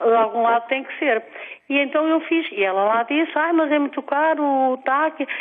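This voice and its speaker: With a high pitch and ordinary pitch variation, a woman speaks at a moderate pace. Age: 60s. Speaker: caller. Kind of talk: phone-in call. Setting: phone call. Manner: hesitant, rambling speech with fillers.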